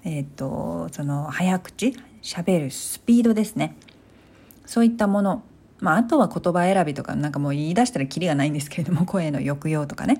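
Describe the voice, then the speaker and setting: Fairly quick and lively in intonation, a woman speaks in a fairly low, somewhat breathy voice with a dark, mellow tone, recorded very cleanly over a silent background. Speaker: solo podcaster. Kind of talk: casual monologue.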